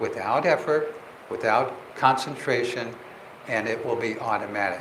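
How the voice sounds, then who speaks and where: Noticeable background noise and audible room echo surround a man talking fairly slowly with an American accent. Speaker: meditation teacher. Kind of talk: lecture.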